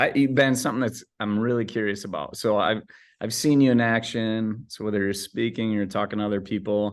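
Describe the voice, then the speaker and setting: A man with an American accent talks in a calm tone at a moderate pace, his pitch fairly low and his intonation fairly even. The background is quiet. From US Midwest, West Michigan (Grand Rapids). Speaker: business coach and consultant. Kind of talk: casual interview conversation. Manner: calm, chill.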